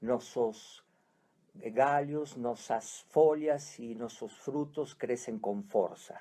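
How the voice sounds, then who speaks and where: A man with an Argentine accent, medium-pitched, dark and mellow in tone, with ordinary pitch variation and a very slow pace. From Argentina, Buenos Aires. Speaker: psychiatrist, family constellation therapist. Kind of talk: radio interview. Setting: radio studio.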